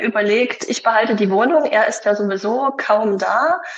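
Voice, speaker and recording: A woman speaks with a fairly high pitch and ordinary pitch variation. Noticeable background noise is present. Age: 40s. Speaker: mother of three, former partner of a toxic ex. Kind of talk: interview about personal experience. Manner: hesitant, many fillers.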